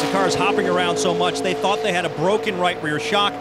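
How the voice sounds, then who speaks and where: Loud noise fills the background as a man rattles along very fast, the sound dry with no echo. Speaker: pit road reporter. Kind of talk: live race commentary; sports commentary. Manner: rapid-fire, clipped technical updates.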